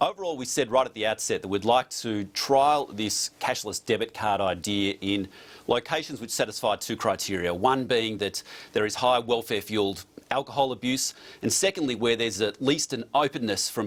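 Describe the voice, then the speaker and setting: Talking with an Australian accent, a man keeps a medium pitch and ordinary pitch variation. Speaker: politician. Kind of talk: TV news interview. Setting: remote studio link.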